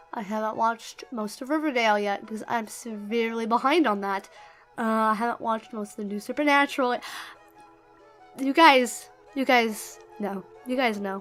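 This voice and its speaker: With music in the background, a woman speaks at a fairly high pitch and ordinary pitch variation. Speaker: YouTuber. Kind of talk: casual Q&A vlog.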